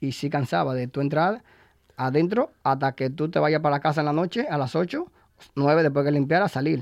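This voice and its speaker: A man talks with an ordinary speaking voice, pitched fairly high for a man, keeping a moderate pace and ordinary pitch variation. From Dominican Republic. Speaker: cider bar owner and cider pourer. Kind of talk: casual interview. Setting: radio studio.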